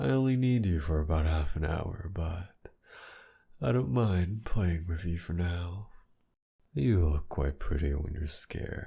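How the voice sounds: In a put-on character voice, a man speaks slowly with a low pitch, a dark, mellow tone and vocal fry. His intonation is lively.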